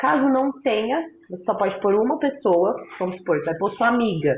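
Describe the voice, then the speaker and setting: A somewhat breathy voice speaks at a moderate pace. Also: woman. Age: 20s. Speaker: former prisoner. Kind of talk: interview testimony.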